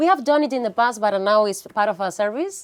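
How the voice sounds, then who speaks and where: A woman with an Andalusian accent. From Andalusia, Spain (Granada). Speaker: visa consultant. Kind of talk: casual interview.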